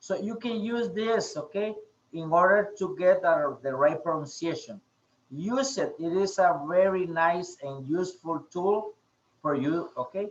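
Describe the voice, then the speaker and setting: The speech comes at a fairly slow pace in a Spanish accent. Pitch varies in an ordinary way. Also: man. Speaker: English teacher. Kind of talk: online class. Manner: halting, many fillers.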